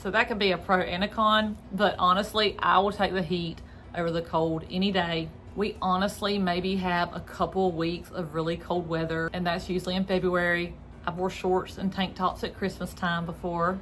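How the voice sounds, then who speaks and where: With a Southern US accent, a woman talks at a moderate pace and medium pitch in a monotone, flat intonation. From North Central Florida. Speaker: real estate agent. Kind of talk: informational vlog. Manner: casual, conversational.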